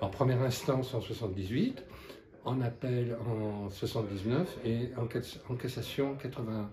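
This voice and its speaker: With a dark, mellow tone and some breathiness, a man talks at a fairly slow pace. His intonation is fairly even, and audible room echo surrounds him. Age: 70s. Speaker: activist and witness of past repression. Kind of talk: testimony. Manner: halting.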